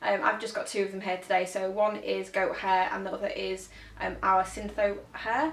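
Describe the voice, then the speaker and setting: With a northern English accent, a woman talks at a fairly quick pace. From northern England. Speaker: make-up artist. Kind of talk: tutorial. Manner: fast; casual, hesitant with many ums.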